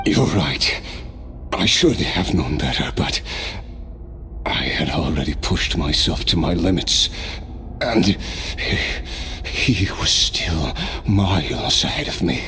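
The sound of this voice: A man does a put-on character voice, pitched extremely low, with lively intonation at a slow pace. Clear background noise runs underneath.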